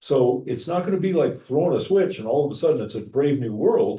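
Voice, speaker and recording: A man with vocal fry and a dark, mellow tone speaks at a very fast pace, his fairly high pitch moving in very wide swings. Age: 70. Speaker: pastor. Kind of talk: class discussion.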